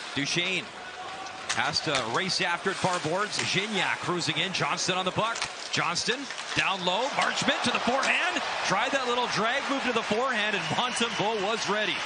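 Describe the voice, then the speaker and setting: Loud background noise under a moderate pace. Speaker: hockey play-by-play announcer. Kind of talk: live play-by-play hockey commentary. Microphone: headset.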